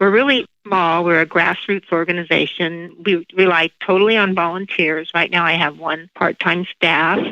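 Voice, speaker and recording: At a moderate pace with hardly any pauses, a woman with a normal speaking voice talks in a fairly low pitch, keeping her intonation fairly even and her loudness very even. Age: 60s. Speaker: eating disorder nonprofit founder. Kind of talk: podcast interview.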